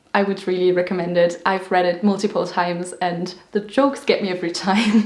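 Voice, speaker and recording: Noticeable background noise sits behind a woman with a German accent. Her medium-pitched voice moves at a fairly quick pace with fairly even intonation. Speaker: booktuber. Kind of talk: casual chat.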